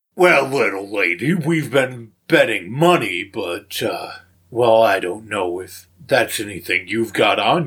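Putting on a character voice, a man speaks at a medium pitch and a fairly slow pace with very wide pitch swings and big swings in loudness, in a very clean recording with a silent background. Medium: actual play. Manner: drawling, condescending.

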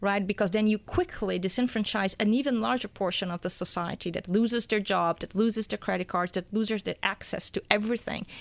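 A woman's normal speaking voice at medium pitch, fairly quick with hardly any pauses and fairly even intonation, in a dry, close sound with no echo and a very clean recording with a silent background. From born in Brazil, raised in US. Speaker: economics news editor. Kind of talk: studio interview. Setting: studio.

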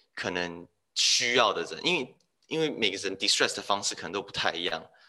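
Bright and sharp in tone, a man speaks at a fairly quick pace with very wide pitch swings. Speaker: management consultant. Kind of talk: interview. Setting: remote call.

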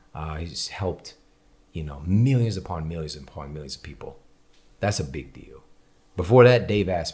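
A man with a very deep, low pitch and an animated tone speaks at a moderate pace with lively intonation, sounding somewhat breathy, with big swings in loudness and long, frequent pauses. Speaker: podcast host and author. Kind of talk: casual interview conversation. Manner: animated, conversational.

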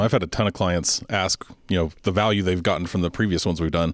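A man with a very deep, low pitch talks at a very fast pace with fairly even intonation. The recording is very clean, with a silent background. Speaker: podcast co-host.

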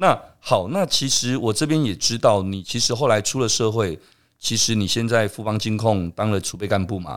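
At a moderate pace, a man with a plain, everyday voice and a fairly low pitch speaks with ordinary pitch variation on a very clean recording with a silent background. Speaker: podcast host. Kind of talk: interview conversation.

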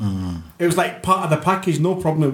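A somewhat breathy voice at a fairly quick pace. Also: man. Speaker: broadcaster and fundraiser. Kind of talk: casual panel discussion. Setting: studio.

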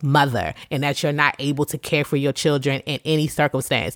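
A woman's voice comes through dry and close, with no echo. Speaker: faith podcast host. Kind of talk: casual monologue. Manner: conversational, unscripted.

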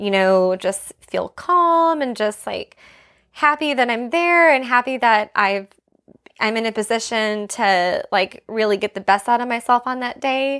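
A woman with a high-pitched voice speaks at a fairly slow pace with lively intonation, recorded very cleanly against a silent background. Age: 30s. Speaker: professional runner. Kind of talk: casual interview. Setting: studio, on a couch, filmed.

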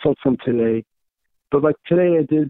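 This man speaks at a fairly quick pace. His intonation is lively. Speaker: host's father. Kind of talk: casual chat. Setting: phone call.

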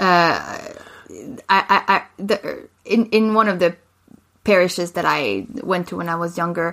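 Against a silent background in a very clean recording, a woman with a French accent speaks fairly slowly at a medium pitch and with fairly even intonation. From Quebec, Montreal suburbs. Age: 20s. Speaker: podcast co-host. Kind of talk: casual chat.

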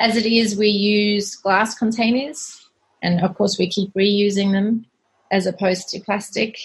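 The voice is somewhat breathy, with fairly even intonation. It moves at a fairly slow pace. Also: woman, medium pitch for a woman. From South Africa. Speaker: cleaning business cofounder. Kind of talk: podcast interview.

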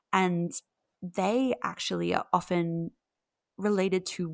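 A woman speaks with an Australian accent. The recording is very clean, with a silent background and a dry, close sound with no echo. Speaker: mythology researcher. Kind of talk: interview conversation.

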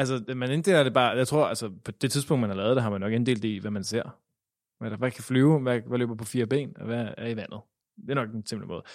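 Heard on a very clean recording with a silent background, a man with an unremarkable speaking voice talks at medium pitch and a fairly quick pace, with ordinary pitch variation. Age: 20s. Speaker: theology student. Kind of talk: interview. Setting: synagogue.

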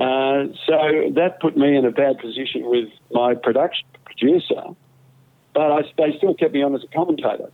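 At a moderate pace, a man with a broad New South Wales accent speaks at a fairly high pitch. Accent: Australian, broad rural New South Wales. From central western New South Wales, Australia. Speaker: retired sports commentator. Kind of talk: casual interview.

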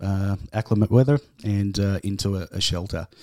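On a very clean recording with a silent background, a man with an Australian accent talks at a fairly low pitch with fairly even intonation. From Tasmania, west coast. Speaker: homeless shelter manager. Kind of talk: casual interview. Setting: studio.

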